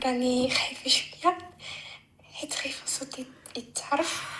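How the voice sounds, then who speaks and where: A woman's high-pitched voice at a fairly slow pace, with noticeable background noise. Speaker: caller. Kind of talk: call-in advice request.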